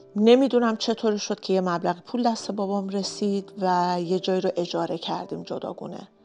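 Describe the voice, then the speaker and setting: Music plays in the background as a woman of medium pitch talks at a fairly quick pace. She uses fairly even intonation and hardly any pauses. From Iran, Kermanshah (Kurdish family). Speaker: vlogger. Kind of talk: personal storytelling vlog.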